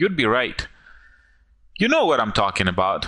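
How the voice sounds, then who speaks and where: A man speaks at medium pitch with a non-native accent. His tone is bright and sharp. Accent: foreign accent, self-described as goofy. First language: not English. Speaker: online marketer. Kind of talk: sales pitch. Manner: animated.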